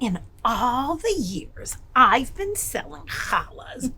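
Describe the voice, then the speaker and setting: A woman uses a put-on character voice, high in pitch with very wide swings. She goes at a very slow pace over light background noise. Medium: read story. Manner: warm, friendly.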